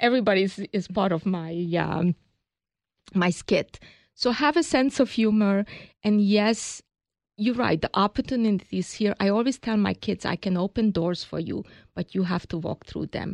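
A woman with a Hungarian accent talks at a moderate pace and medium pitch with ordinary variation, recorded dry and close with no echo against a quiet background. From Hungary. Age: 60s. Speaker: business founder. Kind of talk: interview.

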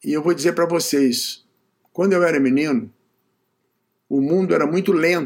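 Long, frequent pauses mark a man's high-pitched voice, held at very even loudness. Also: ordinary pitch variation, moderate pace. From Brazil, Niterói (Rio de Janeiro state). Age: 80s+. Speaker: management consultant and author. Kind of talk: interview.

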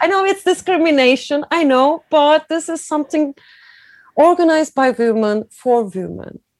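A woman speaks with a Turkish accent at a high pitch and a moderate pace. The sound is dry and close, with no echo. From Turkey (Izmir). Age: 40s. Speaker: cycling event founder. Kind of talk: interview. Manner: halting.

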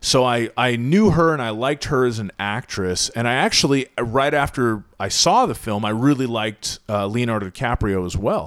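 At a moderate pace, a man with an unremarkable speaking voice talks with hardly any pauses, his pitch medium with ordinary variation. The recording is very clean with a silent background. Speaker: YouTube car channel creator. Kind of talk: casual chat.

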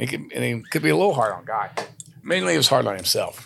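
A man with a Texas accent. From Texas, San Antonio. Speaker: country singer-songwriter. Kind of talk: casual chat.

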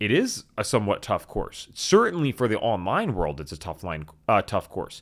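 An upbeat man with vocal fry swings his pitch very widely, recorded very cleanly with a silent background. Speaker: podcast host and course enrollment advisor. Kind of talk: casual solo podcast episode. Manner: fast talker, excitable; upbeat, conversational.

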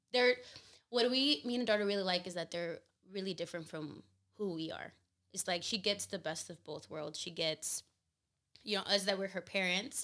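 Loud and bright with a sharp tone, a woman speaks at medium pitch with long, frequent pauses. The recording is very clean, with a silent background. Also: ordinary pitch variation, moderate pace. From Mexican family (Guerrero roots). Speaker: mother and gym event organizer. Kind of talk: casual chat. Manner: laughs loudly.

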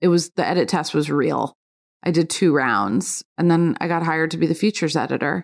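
With vocal fry and an American accent, a woman talks at a fairly quick pace with ordinary pitch variation, and the sound is dry and close with no echo. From New York. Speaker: food editor and cookbook author. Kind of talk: casual interview. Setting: at home.

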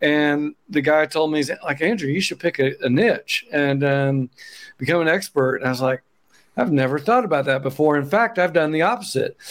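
A man talks at a fairly high pitch. His loudness stays very even. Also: ordinary pitch variation, moderate pace. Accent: Oklahoma. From Oklahoma. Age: 50s. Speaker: accountant and business founder. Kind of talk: casual interview chat.

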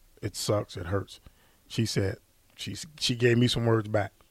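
A man's somewhat breathy, fairly low voice in monotone, flat intonation, dry and close with no echo, on a very clean recording with a silent background. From US Midwest, St. Louis. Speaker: former college football player and coach. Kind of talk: interview.

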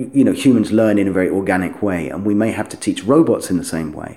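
In a London accent, a man with a fairly low pitch and a dark, mellow tone talks at a fairly quick pace with lively intonation. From London, England. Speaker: software company CEO. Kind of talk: interview.

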